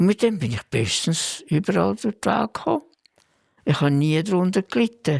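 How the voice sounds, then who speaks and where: A man speaks in a high pitch. Very wide swings mark his intonation. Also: moderate pace, dry, close sound with no echo. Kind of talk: interview answer.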